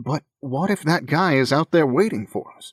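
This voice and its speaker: In a put-on character voice, a man speaks at a moderate pace with fairly high pitch, lively intonation and big swings in loudness, the sound dry and close with no echo. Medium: read story. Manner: exasperated.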